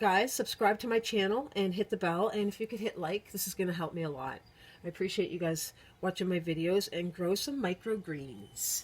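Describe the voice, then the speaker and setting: A woman mumbles at a moderate pace, somewhat breathy. The recording is very clean, with a silent background. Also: ordinary pitch variation. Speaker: herbalist video creator. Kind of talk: tutorial. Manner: mumbling; casual with many fillers.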